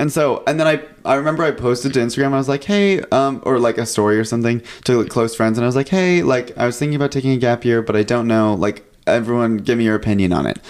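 Very fast American-accented speech from a man at a medium pitch, with ordinary pitch variation and very even loudness. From California. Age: 20s. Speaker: recent college graduate. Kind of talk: casual chat. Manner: animated.

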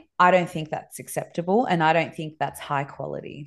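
A fairly quick woman's voice with an Australian accent, fairly low in pitch, with ordinary pitch variation and a quiet background. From Dubai, moved to Sydney around grade six. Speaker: Montessori school owner and educator. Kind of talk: interview conversation.

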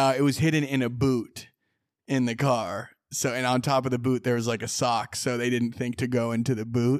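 A medium-pitched man with an American accent, monotone, flat intonation and a moderate pace. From Sonoma, California. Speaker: rapper and reality TV casting associate. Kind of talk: casual interview chat. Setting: in-person studio. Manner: joking, self-deprecating.

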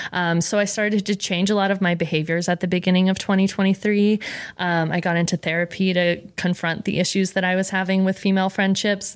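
A woman with an American accent talks at a fairly quick pace and medium pitch, in a monotone, flat intonation with hardly any pauses and very even loudness. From Rhode Island, US. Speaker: food content creator. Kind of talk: casual chat. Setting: studio.

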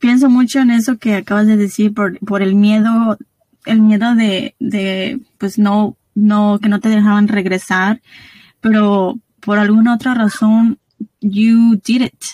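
A woman with a fairly high, somewhat breathy voice and a dark, mellow tone speaks at a very slow pace in a monotone, flat intonation. Her loudness stays very even, and the sound is dry and close with no echo. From Guanajuato, Mexico. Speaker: podcast host. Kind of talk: interview, casual chat.

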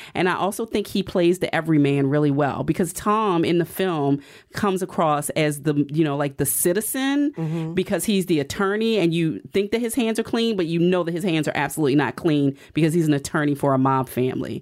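In a normal speaking voice, a woman talks at a fairly low pitch and a fairly quick pace with lively intonation and hardly any pauses, on a very clean recording with a silent background. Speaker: entertainment writer and podcast host. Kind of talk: casual interview chat.

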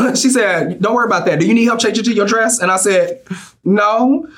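Background noise is noticeable throughout. The talking goes at a fairly quick pace. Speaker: drag queen contestant. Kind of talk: casual interview.

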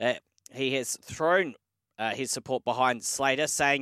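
The voice has an Australian accent and a bright, sharp tone with fairly even intonation. The recording is very clean, dry and close, with no echo and a silent background. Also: man. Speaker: sports radio host. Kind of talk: morning sports news show.

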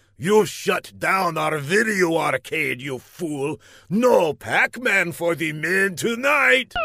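Putting on a character voice, a man growls at a high pitch with lively intonation and a very slow pace. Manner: snarling, menacing, pompous.

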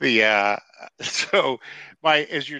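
His pitch fairly low, this man speaks with a bright, sharp tone. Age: 50s. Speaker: podcast co-host. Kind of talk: casual chat.

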